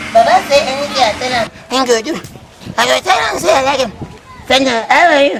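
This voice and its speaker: A put-on character voice, high-pitched and delivered at a fairly quick pace. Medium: comedy sketch. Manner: excitable, loud.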